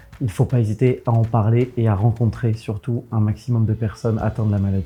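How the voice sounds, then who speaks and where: Male speaker at a fairly quick pace with fairly even intonation, music in the background. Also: medium pitch for a man. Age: 20s. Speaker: eczema patient. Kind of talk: testimony. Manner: hesitant, frequent fillers.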